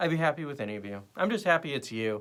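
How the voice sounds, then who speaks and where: Here a man speaks at a fairly quick pace. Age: 40s. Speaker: podcast host. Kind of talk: casual chat. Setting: live stream. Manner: animated.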